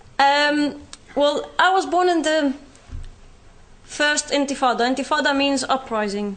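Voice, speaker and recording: In a British accent, a woman speaks at a high pitch and a fairly slow pace, with long, frequent pauses and ordinary pitch variation. Her loudness stays very even over noticeable background noise. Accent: Palestinian British. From Palestine, West Bank. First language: Arabic. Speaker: speaker sharing personal experience. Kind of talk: public talk.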